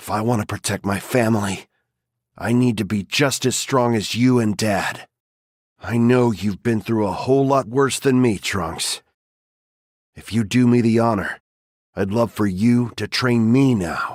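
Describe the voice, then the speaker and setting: Using a put-on character voice, a man speaks at a medium pitch and moderate pace with fairly even intonation. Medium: short film.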